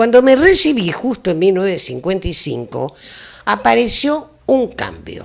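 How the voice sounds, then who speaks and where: Her pitch swinging very widely around a medium level, a woman talks at a fairly slow pace. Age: 80s+. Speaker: retired teacher. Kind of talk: talk show interview.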